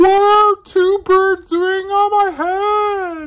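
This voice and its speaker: At a very slow pace, a put-on character voice speaks, squeaky and extremely high in pitch. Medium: read story. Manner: fretful, questioning.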